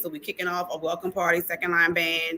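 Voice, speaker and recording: Against noticeable background noise, a woman with a strong New Orleans accent speaks fairly quickly at medium pitch. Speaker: conference organizer. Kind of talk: casual livestream chat. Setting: online livestream. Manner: animated.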